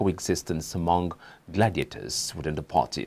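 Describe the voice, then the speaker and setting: A man with a Nigerian accent talks at a moderate pace in a very deep, low pitch, with vocal fry. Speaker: news anchor. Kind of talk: newsreading, scripted studio bulletin. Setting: studio. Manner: formal, measured, steady newsreader delivery. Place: studio. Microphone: lapel.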